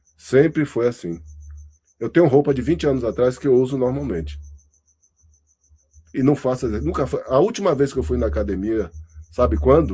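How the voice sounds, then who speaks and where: A man with a dark, mellow tone, medium pitch, vocal fry, and very wide pitch swings. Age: 60s. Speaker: university lecturer. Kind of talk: lecture feedback to student. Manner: conversational, halting.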